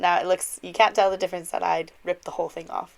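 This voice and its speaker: Music sits in the background while a woman with a medium pitch talks at a very fast pace in a dry, close sound with no echo. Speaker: card-making crafter. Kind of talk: tutorial. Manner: casual, chatty.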